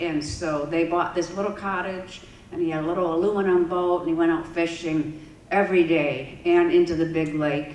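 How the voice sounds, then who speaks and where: Amid noticeable background noise and audible room echo, a woman with a fairly low pitch speaks at a moderate pace with fairly even intonation. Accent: Upper Midwest. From West Michigan. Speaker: environmental advocate and city council member. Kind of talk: public talk. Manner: casual, with fillers.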